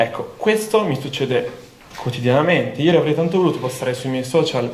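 Audible room echo over light background noise. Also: man. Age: young. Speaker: engineering student; candidate. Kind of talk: campaign speech. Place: hall. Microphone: handheld.

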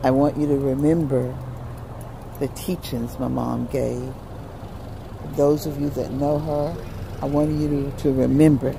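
Over noticeable background noise, with a dry sound and no echo, a woman speaks at a very deep, low pitch and a fairly slow pace, her intonation monotone and flat, with long, frequent pauses. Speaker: grieving daughter speaking about her late mother. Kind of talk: casual talk to camera, live video message. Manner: emotional, reflective. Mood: grieving, emotional, reflective. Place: open country. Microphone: phone near.

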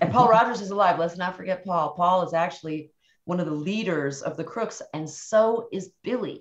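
A woman's voice shows ordinary pitch variation, and the background is quiet. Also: moderate pace. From near the Canadian border. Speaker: recording engineer; guest. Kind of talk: casual chat; interview answer. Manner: animated. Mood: animated, enthusiastic storytelling. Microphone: video call.

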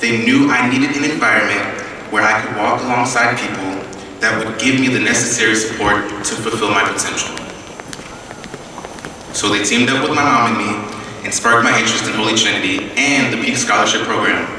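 A man at a fairly quick pace, intonation fairly even, with noticeable background noise and strong room echo. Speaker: speaker. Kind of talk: prepared speech. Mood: earnest, reflective. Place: hall. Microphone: podium.

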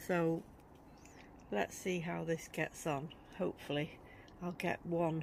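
The speech moves at a moderate pace. The sound is dry with no echo, and there is light background noise. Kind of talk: casual vlog chat. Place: garden. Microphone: phone near.

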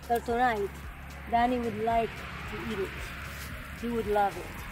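A woman's high voice in a Spanish-free, fairly even intonation, dry with no echo, over music in the background. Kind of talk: casual vlog chat. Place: garden. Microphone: camera far.

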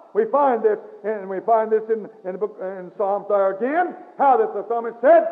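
Pitched high for a man, his voice moves at a moderate pace with ordinary pitch variation. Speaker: Baptist pastor. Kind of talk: church sermon. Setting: recorded in a church, old cassette tape. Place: church. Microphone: old recording.

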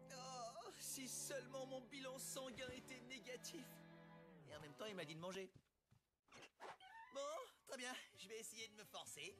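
In a put-on character voice, the speaker whines at a fairly high pitch and a moderate pace, with long, frequent pauses. Faint music plays in the background. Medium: fan dub. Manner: whiny, melodramatic, panicky.

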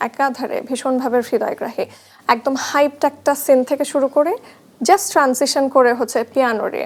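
A woman with a high-pitched voice speaks with ordinary pitch variation. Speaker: TV entertainment show host. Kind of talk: interview. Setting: studio.

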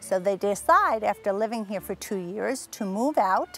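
A woman at a moderate pace, ordinary pitch variation, a dry sound with no echo, and faint music in the background. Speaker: tour guide. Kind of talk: tour guide presentation. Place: garden. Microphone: lapel.

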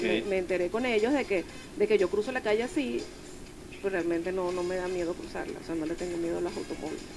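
Over clear music in the background, a woman talks very fast at a medium pitch with lively intonation. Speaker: member of the board of an Asperger foundation, interviewed on radio. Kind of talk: radio interview answer, personal story. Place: studio. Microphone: studio mic.

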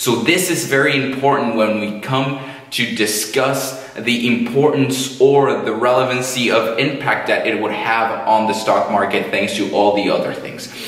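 A man speaks with fairly even intonation in a room with audible echo. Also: moderate pace, hardly any pauses. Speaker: finance educator. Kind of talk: educational commentary. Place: studio.

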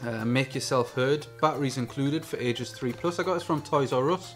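Faint music plays in the background as a man with a medium pitch speaks at a moderate pace with ordinary pitch variation. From England. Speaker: YouTube gadget reviewer. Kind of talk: product review. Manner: quiet, mumbling. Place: home room. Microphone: camera far.

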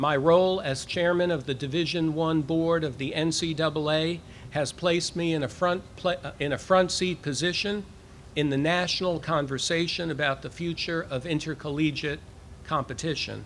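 A fairly high male voice at a moderate pace, fairly even in intonation, over light background noise. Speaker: university president. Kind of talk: formal address to a live audience. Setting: outdoors, with cicadas audible. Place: street. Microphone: podium.

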